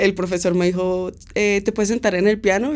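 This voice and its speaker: Very fast speech from a woman comes through noticeable background noise. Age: 20s. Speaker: musician. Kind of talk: interview. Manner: casual, hesitant fillers.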